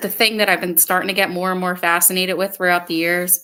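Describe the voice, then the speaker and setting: A woman's medium-pitched voice with a Philadelphia accent, fairly quick and flat in intonation, bright and sharp in tone. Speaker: podcast host. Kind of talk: casual chat.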